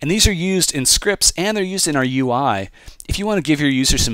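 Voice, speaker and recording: In a very clean recording with a silent background, a man talks very fast with very wide pitch swings. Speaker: software tutorial presenter. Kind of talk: tutorial. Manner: casual, with filler words.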